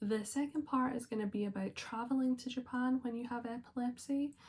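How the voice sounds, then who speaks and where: Speaking in a Scottish accent, a woman sounds somewhat breathy, keeping a moderate pace and ordinary pitch variation. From Scotland. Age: 20s. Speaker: vlogger. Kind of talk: personal vlog talk. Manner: casual with frequent fillers.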